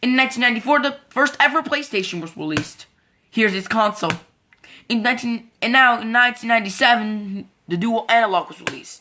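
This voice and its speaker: A woman's fairly high voice at a fairly quick pace. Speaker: YouTuber presenting logo history slides. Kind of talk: scripted slideshow narration. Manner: fast; halting, repeats words.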